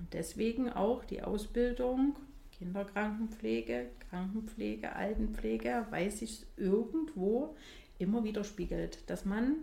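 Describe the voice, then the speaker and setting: A woman with a fairly high pitch, ordinary pitch variation and a fairly slow pace, with audible room echo. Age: 40s. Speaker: nurse and training supervisor. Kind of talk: interview.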